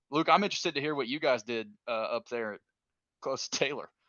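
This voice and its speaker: The pace here is very fast. A man speaks with a Kentucky accent. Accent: Kentucky country. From Kentucky, Richmond. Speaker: former college baseball player. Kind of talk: casual chat.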